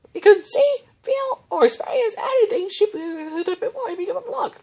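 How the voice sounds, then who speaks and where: A put-on character voice, extremely high-pitched, lively in intonation, at a moderate pace. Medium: read story.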